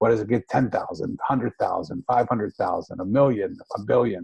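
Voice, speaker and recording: A man with an American accent speaks at a fairly quick pace. His tone is dark and mellow and somewhat breathy. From Philadelphia, US. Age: 60s. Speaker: author and speaker. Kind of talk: interview conversation. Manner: animated.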